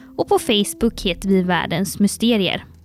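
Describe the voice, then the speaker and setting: Over music in the background, a woman speaks at a medium pitch and a moderate pace. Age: 20s. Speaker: podcast co-host, communications officer. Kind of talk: casual chat.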